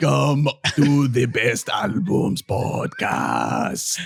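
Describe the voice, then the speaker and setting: In a put-on character voice, a man speaks at medium pitch and a very slow pace. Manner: ancient, theatrical.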